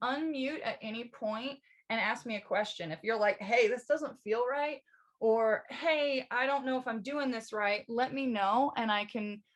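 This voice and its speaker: With a high pitch and ordinary pitch variation, a woman talks at a fairly slow pace over a quiet background. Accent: American. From Missouri, US Midwest. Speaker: yoga instructor. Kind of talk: live online yoga class instruction.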